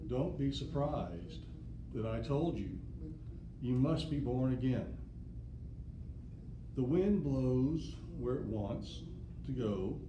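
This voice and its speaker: A man speaking at a very slow pace amid noticeable background noise. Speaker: Bible teacher. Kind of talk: lecture. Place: classroom. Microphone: camera far.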